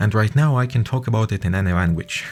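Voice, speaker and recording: This is a man with a Russian accent. His pitch is fairly low. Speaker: podcaster. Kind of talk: personal testimony. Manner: halting, many fillers.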